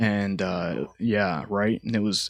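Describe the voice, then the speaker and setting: A man with a Southern US accent has a fairly low pitch and a bright, sharp tone. The sound is dry and close with no echo, in a very clean recording with a silent background. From Alabama. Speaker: military veteran. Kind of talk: casual chat.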